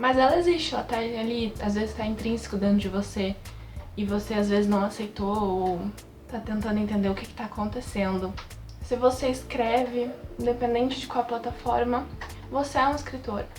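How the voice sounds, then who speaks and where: A woman with a fairly high pitch talks at a moderate pace with ordinary pitch variation while music plays in the background. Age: 20s. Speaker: writer. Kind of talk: casual talk to camera.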